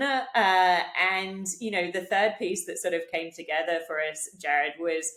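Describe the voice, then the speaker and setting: With a British accent, a woman talks at a moderate pace and medium pitch with ordinary pitch variation, over noticeable background noise. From UK. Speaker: digital health executive. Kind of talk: podcast interview. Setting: video call.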